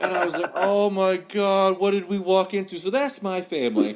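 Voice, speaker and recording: Speaking with an American accent, a man keeps a high pitch and a moderate pace. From US South, West Virginia. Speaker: podcast host and trauma survivor. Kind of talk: casual interview chat. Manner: animated storytelling.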